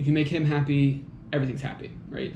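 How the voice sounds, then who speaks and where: Audible room echo surrounds this recording of a man. He has a fairly high pitch and an American accent. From United States. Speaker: commentator on magazine articles. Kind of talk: solo monologue commentary. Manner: casual, many fillers and hesitations.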